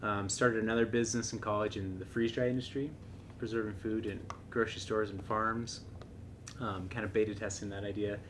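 A man talks in a monotone, flat intonation at fairly low pitch. Noticeable background noise is present. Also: fairly quick pace. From Seattle, Washington. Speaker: tech startup co-founder. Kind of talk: interview podcast. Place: home room.

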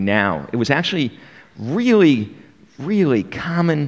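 The voice is a man's. Nothing much is heard behind him, as the background is quiet. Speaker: presenter. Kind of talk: talk to an audience. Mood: wry, conversational. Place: stage. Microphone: studio mic.

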